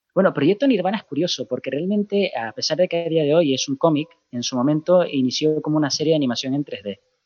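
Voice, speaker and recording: A man speaks very fast at a fairly high pitch with ordinary pitch variation. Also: hardly any pauses. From Canary Islands, Spain. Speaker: comic writer and project creator. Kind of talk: interview. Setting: phone call.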